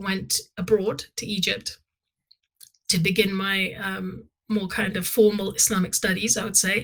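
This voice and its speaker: A woman's bright, sharp voice at medium pitch, with a London accent, at a fairly slow pace. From London, England. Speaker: Islamic scholar. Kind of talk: interview. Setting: podcast.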